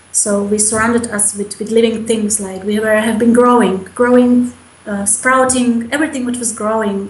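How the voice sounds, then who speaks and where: A woman's fairly high, monotone, flat voice over noticeable background noise. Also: moderate pace. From Slovakia. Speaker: mother. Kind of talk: interview answer.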